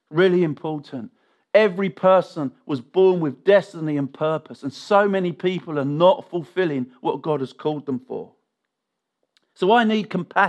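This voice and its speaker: Someone with an English accent speaks with lively intonation against a quiet background. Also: man, high pitch for a man, moderate pace. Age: 50s. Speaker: pastor. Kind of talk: sermon.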